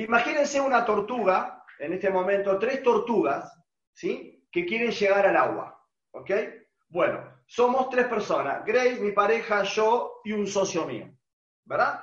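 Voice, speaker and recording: In an Argentine accent, a man speaks at a fairly slow pace with a high pitch and lively intonation, and room echo is audible. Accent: Rioplatense Argentine Spanish. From Argentina. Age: 40s. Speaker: online business trainer. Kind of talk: webinar presentation.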